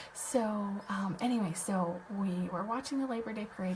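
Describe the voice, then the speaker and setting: Soft-spoken and in an American accent, a woman talks at a moderate pace and medium pitch with ordinary pitch variation as noticeable background noise plays. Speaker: web designer and online business host. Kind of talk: casual livestream chat. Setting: live video stream at home. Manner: quiet, soft-spoken; hesitant, many fillers.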